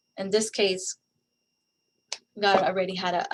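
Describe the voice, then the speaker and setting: A woman's medium-pitched voice at a moderate pace. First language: Spanish. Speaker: guest speaker on faith and resilience. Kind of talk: online presentation. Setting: online session with chat. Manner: halting, many fillers and repeats.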